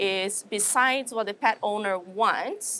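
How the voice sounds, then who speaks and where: A woman speaks at a fairly high pitch with a Brazilian Portuguese accent. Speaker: animal science professor. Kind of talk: interview.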